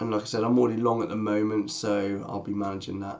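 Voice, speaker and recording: A man talking at a very fast pace. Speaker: day trader streaming market analysis. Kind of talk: live market analysis stream. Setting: livestream. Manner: halting, repeats words.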